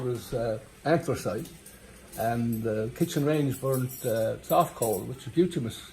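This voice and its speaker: A man with a Newfoundland accent at a medium pitch, ordinary pitch variation and a fairly slow pace, with music in the background. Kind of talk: storytelling, joke telling. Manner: casual, hesitant.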